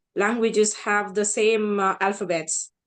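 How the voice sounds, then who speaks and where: Talking at a moderate pace, a woman in a South Indian accent keeps a fairly high pitch and fairly even intonation. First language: Tamil. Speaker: translator and author. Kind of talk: self-introduction in online panel.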